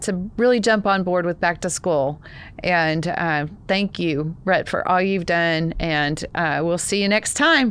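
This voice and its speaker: With a Texas accent, a woman speaks fairly slowly in a fairly low voice, her pitch varying in an ordinary way. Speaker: podcast host and founder. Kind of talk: casual podcast chat.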